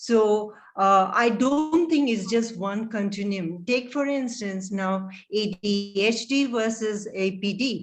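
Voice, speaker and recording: A woman with a non-native accent speaks at a very slow pace in a fairly high voice with ordinary pitch variation. Music plays in the background. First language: not English. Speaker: audiology professor, debate panelist. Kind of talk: panel debate Q&A.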